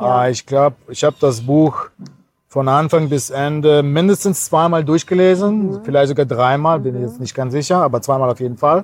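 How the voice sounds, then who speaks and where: A man with a Cologne accent at a moderate pace. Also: fairly high pitch for a man, ordinary pitch variation. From Kazakhstan, then Cologne region. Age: 40s. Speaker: pastor. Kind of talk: interview.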